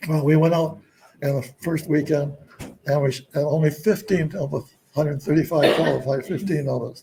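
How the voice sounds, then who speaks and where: The speaker is a man with a dark, mellow tone. He talks at a moderate pace. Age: 80s+. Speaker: retired scientist. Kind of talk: interview answer.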